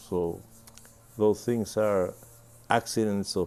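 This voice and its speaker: A man with a Spanish accent speaks in a dark, mellow tone with monotone, flat intonation. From Cuba, Havana. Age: 90s. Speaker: composer and emeritus professor. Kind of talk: interview.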